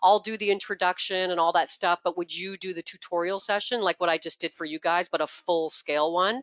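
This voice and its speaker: A woman with a Canadian accent talks in a fairly low pitch, her intonation fairly even. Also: fairly quick pace, hardly any pauses. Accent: Canadian, noticeable. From Canada. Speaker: product trainer. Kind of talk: tutorial.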